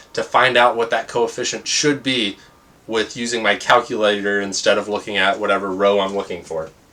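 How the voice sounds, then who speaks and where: The speaker is a man going at a moderate pace. Noticeable background noise runs behind him. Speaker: math teacher. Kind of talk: lecture.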